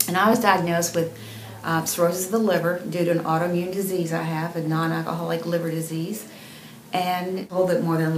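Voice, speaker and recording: A woman with a fairly low pitch speaks in a fairly even intonation, with audible room echo and noticeable background noise. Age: 60s. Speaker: patient giving a testimonial. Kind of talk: testimony. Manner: halting, with many fillers.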